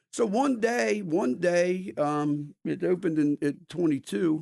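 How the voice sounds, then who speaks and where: An American-accented man speaks at a high pitch with lively intonation. The sound is dry and close with no echo. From Delaware, US. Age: 60s. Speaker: restaurant owner. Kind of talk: casual chat.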